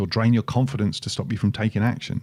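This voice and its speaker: This man's voice has a dark, mellow tone. His pitch sits at a medium level. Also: very clean recording, silent background. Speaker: podcast co-host. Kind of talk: casual chat.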